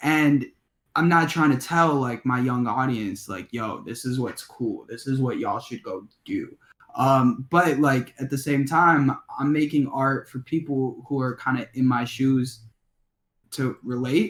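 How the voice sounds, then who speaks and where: A man with a Chicago accent speaks at a fairly slow pace. His pitch is medium, with ordinary pitch variation. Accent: Chicago-area American. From Illinois, Skokie near Chicago. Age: 20s. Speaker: rapper. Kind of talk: interview. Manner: halting.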